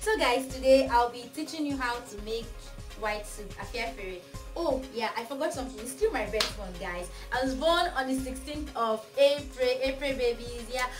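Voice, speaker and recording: A woman talks at a moderate pace with a high pitch and ordinary pitch variation, her loudness swinging widely. Clear music sounds in the background. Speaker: cooking channel host. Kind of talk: casual vlog chat. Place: home room. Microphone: camera far.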